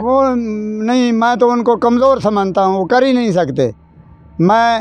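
The voice shows ordinary pitch variation in a dry sound with no echo. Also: man. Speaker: fitness enthusiast. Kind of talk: interview answer. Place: garden. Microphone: handheld.

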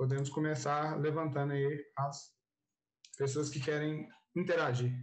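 A man speaks at a fairly high pitch and a moderate pace, somewhat breathy. The background is quiet. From Brazil. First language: Portuguese. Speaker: event moderator. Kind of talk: moderated Q&A. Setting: video call. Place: home room. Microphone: earbuds.

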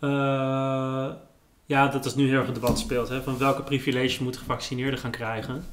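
Over light background noise, a man talks at a moderate pace in a medium pitch with monotone, flat intonation. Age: 30s. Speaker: writer and journalist; guest, journalist. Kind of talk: casual chat. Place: kitchen.

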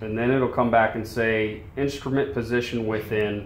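A man amid light background noise, with audible room echo. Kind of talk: tutorial. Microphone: phone near.

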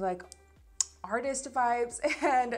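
Faint music plays in the background as a woman talks. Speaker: beauty vlogger. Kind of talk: casual product review chat. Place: home room.

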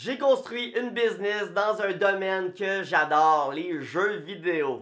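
This man has a Quebec accent and a very slow pace. The background is quiet. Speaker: personal finance youtuber. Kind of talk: direct-to-camera explainer video. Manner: casual. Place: home room.

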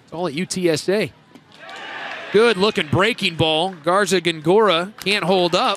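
A man speaks at a fairly slow pace with a high pitch and ordinary pitch variation. Noticeable background noise sits behind him. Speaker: color commentator. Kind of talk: live baseball color commentary, analyzing pitches. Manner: measured, analytical, conversational.

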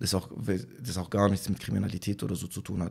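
Against a quiet background, a man speaks in a very deep, low pitch. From Germany, Tübingen area; Germany. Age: 20s. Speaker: rapper; interviewee. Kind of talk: casual interview. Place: home room. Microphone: studio mic.

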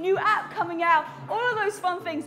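A woman's raised, projected voice over faint music in the background. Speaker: fitness instructor. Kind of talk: workout instruction and casual chat. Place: home room.

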